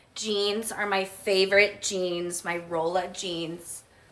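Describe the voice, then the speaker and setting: A woman with an American accent talks in an animated tone over noticeable background noise. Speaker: lifestyle vlogger. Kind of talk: casual chat. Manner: chatty, animated.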